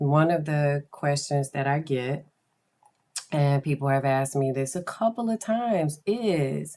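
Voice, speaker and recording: This woman has a very deep, low pitch. She speaks at a fairly slow pace. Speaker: podcast host. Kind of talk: casual chat. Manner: monotone; low-energy.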